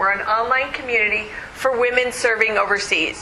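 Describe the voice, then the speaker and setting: A woman talks fairly quickly in a high, animated voice. Noticeable background noise and audible room echo fill the recording. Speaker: conference speaker. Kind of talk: conference talk.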